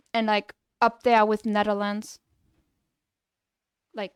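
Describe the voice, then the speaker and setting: A woman with a strong Luxembourg accent speaks at a fairly slow pace in a fairly high pitch, her intonation monotone and flat, her loudness swinging widely, all in a dry, close sound with no echo. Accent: thick Luxembourgish. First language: Luxembourgish. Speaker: game developer streamer. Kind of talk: casual livestream chat. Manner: casual, hesitant with fillers.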